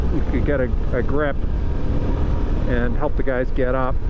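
A man over noticeable background noise, with a dry sound and no echo. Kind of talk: casual vlog chat. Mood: reflective after witnessing accident. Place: motorbike. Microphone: helmet.

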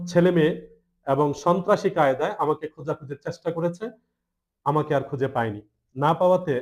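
A fairly high-pitched man's voice with ordinary pitch variation. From Bangladesh, Cumilla (Daudkandi/Meghna). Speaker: deed writer. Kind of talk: press conference statement. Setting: press conference. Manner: halting, with frequent pauses.

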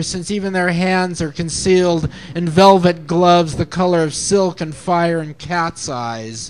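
The man speaks at a fairly slow pace with a high pitch. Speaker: open mic poet. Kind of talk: poetry reading, spoken word, ornate surreal imagery read aloud then letter read out. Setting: open mic night. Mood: lyrical, sensual recitation. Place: cafe.

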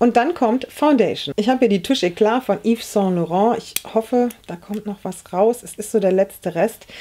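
Over light background noise, a woman with a fairly high pitch and a dark, mellow tone speaks with hardly any pauses and big swings in loudness. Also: ordinary pitch variation, moderate pace. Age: 40s. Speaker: beauty YouTuber. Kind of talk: makeup tutorial. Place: home room.

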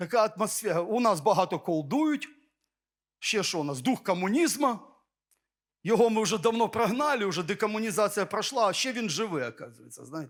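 Over a very clean recording with a silent background, a man with a non-native accent speaks at a moderate pace in a high pitch with lively intonation. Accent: foreign-sounding Ukrainian. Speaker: pastor. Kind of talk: sermon.

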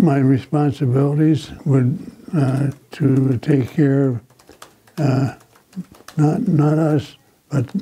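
At a very slow pace, a man with a fairly high pitch speaks with ordinary pitch variation and very even loudness, pausing long and often. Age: 90s. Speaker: war veteran. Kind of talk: oral history interview. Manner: halting. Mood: reflective, somber memories. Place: office. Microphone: lapel.

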